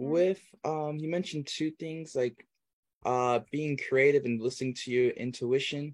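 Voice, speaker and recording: Here a man speaks at a fairly slow pace. His pitch shows ordinary variation. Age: 20s. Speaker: podcast host, entrepreneur. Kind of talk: casual interview chat. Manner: hesitant, filler-heavy.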